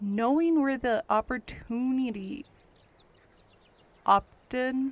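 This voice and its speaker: The speaker is soft-spoken and talks at a very slow pace. The sound is dry and close, with no echo. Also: woman, high pitch for a woman, ordinary pitch variation. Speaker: gaming streamer. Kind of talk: gameplay commentary.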